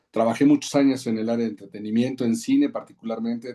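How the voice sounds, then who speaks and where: In a dark, mellow tone, a man talks at a very fast pace and medium pitch. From Mexico City. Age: 40s. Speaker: advertising executive and men's ministry leader. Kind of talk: podcast interview. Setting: podcast. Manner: halting, many fillers and repetitions.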